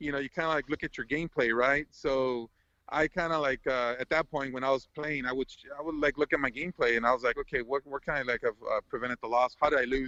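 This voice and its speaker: At a very fast pace, the voice has a bright, sharp tone and fairly even intonation, recorded dry and close with no echo. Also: man, fairly high pitch for a man. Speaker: video game world record holder. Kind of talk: casual chat. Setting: podcast live stream. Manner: halting, many fillers and restarts.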